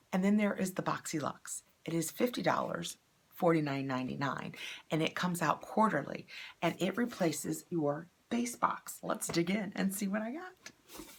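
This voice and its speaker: A woman's fairly low voice with vocal fry and lively intonation, at a moderate pace. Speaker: beauty box unboxing YouTuber. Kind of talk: product unboxing review. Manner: casual, conversational.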